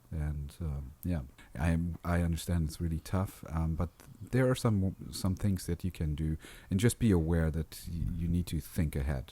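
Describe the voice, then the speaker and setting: With a non-native accent, a man talks at a moderate pace in a very deep, low pitch, his tone dark and mellow and his pitch varying in an ordinary way. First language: not English. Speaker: podcast host. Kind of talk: casual chat.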